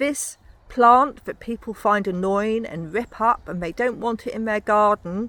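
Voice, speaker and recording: A woman's normal speaking voice, fairly high in pitch, at a moderate pace. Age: 60s. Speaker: podcaster. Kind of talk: walking monologue.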